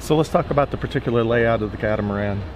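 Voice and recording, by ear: A man talks at a very fast pace with a medium pitch. His pitch varies normally, and background noise is clearly audible.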